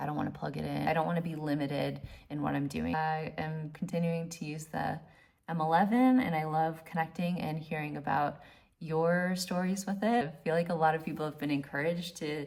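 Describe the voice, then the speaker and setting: A woman speaks at a fairly quick pace in a very deep, low pitch. Her voice is somewhat breathy. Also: fairly even intonation. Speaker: wedding photographer. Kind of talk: casual tutorial vlog. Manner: fast; halting, repeats words.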